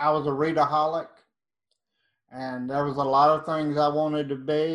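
A man talks at a moderate pace with an East Texas accent. His intonation is monotone and flat, and the background is quiet. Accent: East Texas Southern. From East Texas, Nacogdoches. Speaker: true crime author. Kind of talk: interview.

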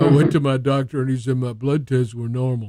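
A man puts on a husky character voice at a medium pitch. He moves at a fairly quick pace.

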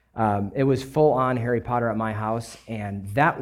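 A man with an American accent and an ordinary speaking voice talks at a fairly slow pace, with a medium pitch and ordinary pitch variation. The recording is very clean, with a silent background. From US Midwest (Kenosha, Wisconsin). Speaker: church member sharing testimony and co-preaching. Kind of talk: testimony and sermon.

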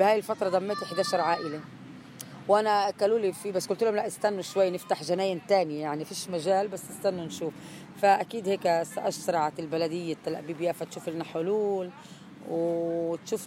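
A woman speaks in a normal speaking voice at a medium pitch. Her pace is moderate and her pitch variation ordinary. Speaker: activist mother, student. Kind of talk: testimony, speech to crowd.

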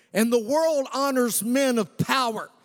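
Music plays in the background as a man speaks. His pitch is extremely high, with ordinary pitch variation. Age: 40s. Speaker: pastor. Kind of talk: energetic Sunday-morning sermon with call-and-response to the congregation. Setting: church service with live congregation. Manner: punchy, rousing preacher cadence, rising to calls for amen; animated and conversational, joking with laughter between points.

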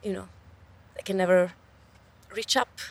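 A woman is speaking. She talks with an Italian accent. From Italy. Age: young. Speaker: researcher and open science advocate. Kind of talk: interview. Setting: outdoors by a river. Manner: animated.

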